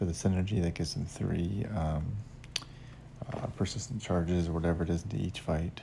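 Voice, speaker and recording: A man speaks quietly with lively intonation and a very deep, low pitch, amid noticeable background noise. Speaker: gaming youtuber. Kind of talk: gameplay commentary. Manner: quiet, hushed; hesitant, many fillers.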